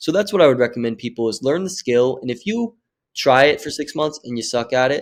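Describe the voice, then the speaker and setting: A man with a normal speaking voice at a medium pitch, with lively intonation, in a very clean recording against a silent background. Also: fairly quick pace. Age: 20s. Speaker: social media marketing agency owner. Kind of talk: podcast interview.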